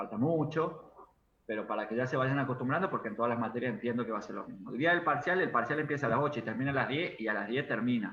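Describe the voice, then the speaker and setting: A man at a medium pitch talks at a very fast pace. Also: ordinary pitch variation. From Argentina, Córdoba. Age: 30s. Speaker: university lecturer. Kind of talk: online class. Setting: video call.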